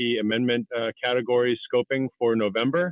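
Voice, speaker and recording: This man's pitch is medium. He keeps his intonation fairly even. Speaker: public commenter for a conservation group. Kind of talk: public comment at a council meeting. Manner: hesitant, many fillers; usually loud.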